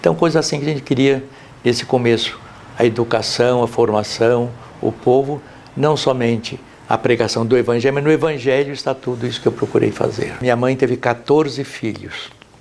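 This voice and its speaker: A man speaks at a medium pitch with fairly even intonation over noticeable background noise. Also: moderate pace. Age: 90s. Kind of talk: documentary interview.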